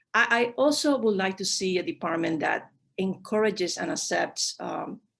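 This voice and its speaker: A woman speaks with a non-native accent at a moderate pace, her pitch medium. Her intonation is lively, with vocal fry. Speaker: diplomat. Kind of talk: panel discussion. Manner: halting with many fillers.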